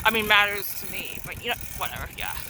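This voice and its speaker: Woman at medium pitch, very fast pace, noticeable background noise. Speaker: vlogger. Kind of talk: casual vlog monologue. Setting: outdoors on a tricycle.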